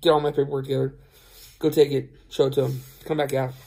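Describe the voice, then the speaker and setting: Over a quiet background, a man speaks in a somewhat breathy, dark, mellow voice with monotone, flat intonation. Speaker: truck driver vlogger. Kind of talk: casual vlog chat. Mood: relaxed, rueful storytelling. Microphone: phone near.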